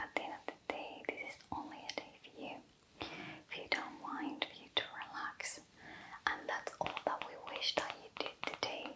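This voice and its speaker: Noticeable background noise runs under a whisper that moves at a moderate pace. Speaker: spa facial therapist roleplay. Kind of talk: ASMR spa roleplay. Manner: whispered, soft-spoken.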